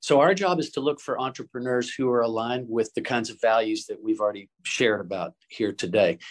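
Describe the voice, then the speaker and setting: Over a quiet background, a man with an American accent and an unremarkable speaking voice talks at a fairly quick pace with lively intonation. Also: medium pitch for a man. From US South, Chattanooga, Tennessee. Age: 60s. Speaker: impact investor. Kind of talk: interview.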